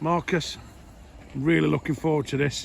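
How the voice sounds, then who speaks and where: A man with a Yorkshire accent. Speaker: fishing vlogger. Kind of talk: casual vlog chat. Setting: outdoors at a fishing lake.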